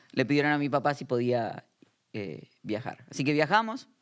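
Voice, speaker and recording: A man speaks with an Argentine accent in a fairly high voice. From Argentina, Buenos Aires area. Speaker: pastor. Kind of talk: interview conversation.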